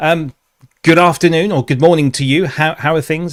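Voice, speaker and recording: This man has a British accent and a fairly high pitch. He talks at a fairly quick pace with fairly even intonation. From UK. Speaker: webinar host, corporate trainer. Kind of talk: webinar presentation.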